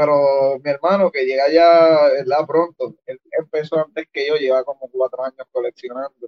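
With a Puerto Rican accent, this man talks at a fairly slow pace in a fairly high pitch, his intonation fairly even. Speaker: toy collector. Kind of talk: casual chat.

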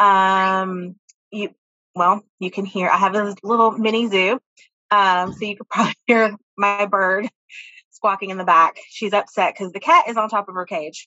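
In a normal speaking voice, a woman speaks with fairly even intonation but big swings in loudness. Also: medium pitch for a woman, moderate pace. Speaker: school counselor, state association president. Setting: video call from home.

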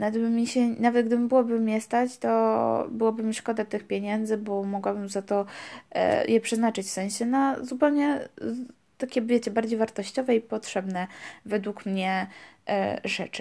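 A dark, mellow tone carries fairly even intonation at a moderate pace in a very clean recording with a silent background. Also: woman, fairly high pitch for a woman. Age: 20s. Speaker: podcast host, student. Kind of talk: casual monologue. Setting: home recording in her room. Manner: hesitant, with fillers.

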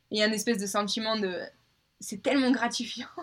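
At a fairly quick pace, a woman with a fairly high pitch talks in an unremarkable speaking voice. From southern France, Avignon. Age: 20s. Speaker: American football player. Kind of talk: casual chat.

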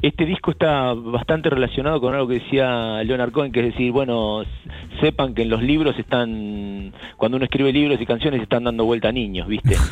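With a Rioplatense accent, the speaker goes at a fairly quick pace with ordinary pitch variation and very even loudness while music plays in the background. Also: man, medium pitch for a man. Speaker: rock band frontman. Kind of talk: interview. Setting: remote call. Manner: halting.

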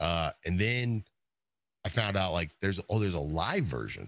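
Using vocal fry and a very deep, low pitch, a man with an American accent speaks at a fairly slow pace in an animated tone with lively intonation, the sound dry and close with no echo. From US Midwest, Ohio. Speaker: Twitch streamer, former touring musician. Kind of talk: casual interview chat.

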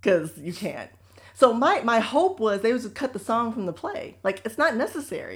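With an American accent, a woman speaks at a moderate pace and fairly high pitch, her voice making very wide pitch swings and big swings in loudness. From United States. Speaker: podcast co-host. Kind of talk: casual chat.

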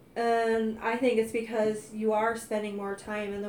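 Monotone, flat delivery from a woman with an American accent, fairly high in pitch and fairly slow, with audible room echo. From US Midwest, North County. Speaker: host's wife. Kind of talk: testimony.

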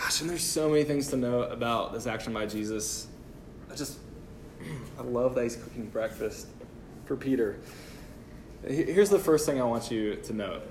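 Amid audible room echo, a man talks at a moderate pace and medium pitch with lively intonation. He takes long, frequent pauses. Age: 20s. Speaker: pastor. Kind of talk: sermon.

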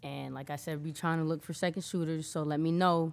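Speech comes at a fairly quick pace with an American accent. The recording is very clean, with a silent background. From Connecticut, New Britain. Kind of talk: casual interview.

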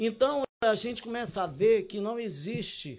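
The man's pitch shifts in a typical manner. His delivery is somewhat leisurely. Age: 60s. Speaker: cooking instructor. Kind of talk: casual chat.

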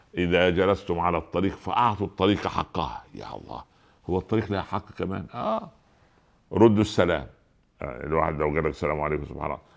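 With an Egyptian accent, a man talks in a very deep, low voice with vocal fry and an animated tone. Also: ordinary pitch variation, moderate pace. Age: 60s. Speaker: preacher. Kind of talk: sermon.

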